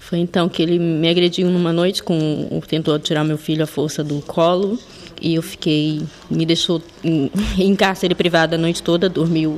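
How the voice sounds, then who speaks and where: A woman speaks at a moderate pace and a fairly low pitch. Noticeable background noise is present. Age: 40s. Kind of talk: testimony.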